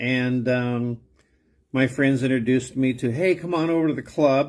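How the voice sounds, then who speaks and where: A man with an American accent talks at a moderate pace and with fairly even intonation. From Southern California. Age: 60s. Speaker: pastor. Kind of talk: personal testimony. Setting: self-recorded video. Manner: hesitant, with many fillers.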